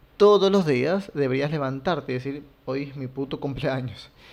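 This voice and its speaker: The man's voice sits at a fairly high pitch. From Latin America. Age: 30s. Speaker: content creator. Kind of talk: personal monologue.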